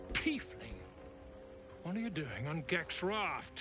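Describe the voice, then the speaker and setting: In a gruff, put-on character voice pitched high, a man speaks at a fairly slow pace over loud music in the background. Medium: video game. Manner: crude, gruff.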